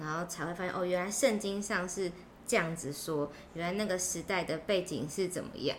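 Noticeable background noise surrounds a woman speaking at a moderate pace. Her voice is fairly low, with ordinary pitch variation. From Taiwan, Chiayi. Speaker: Bible reading podcast co-host. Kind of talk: casual Bible study discussion.

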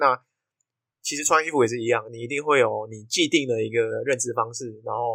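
This man's tone is bright and sharp. He talks at a fairly quick pace with fairly even intonation. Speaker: podcast host. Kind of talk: casual chat. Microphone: new microphone bought for this episode.

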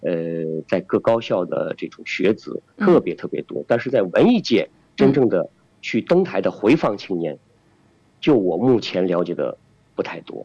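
A man keeps a moderate pace, his voice dry and close with no echo. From Xi'an, China. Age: young. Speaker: singer and opera performer. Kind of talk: interview.

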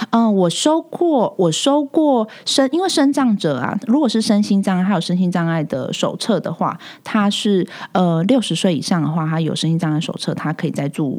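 Her pitch sits in the medium range but swings very widely as the woman speaks at a moderate pace. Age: 30s. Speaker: care home owner. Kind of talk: casual interview chat. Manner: animated.

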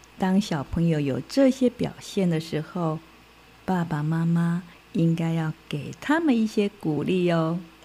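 A woman's very slow, somewhat breathy speech, fairly low in pitch, dark and mellow in tone, with lively intonation. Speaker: children's storyteller. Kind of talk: talk to parents. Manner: animated.

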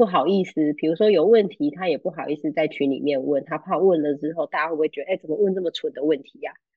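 A woman rattles along at a very fast pace in a fairly low voice. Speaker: podcast host. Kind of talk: interview.

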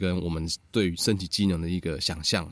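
A man talks at a moderate pace in a very deep, low voice. The recording is very clean, with a silent background. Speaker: podcast host discussing myofascial health. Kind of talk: casual chat.

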